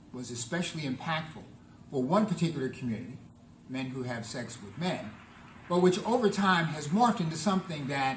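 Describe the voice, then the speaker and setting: Lively intonation and big swings in loudness come through at a fairly quick pace, with audible room echo and noticeable background noise. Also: man, fairly high pitch for a man. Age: 70s. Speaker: public health professor. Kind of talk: lecture. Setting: conference room with audience.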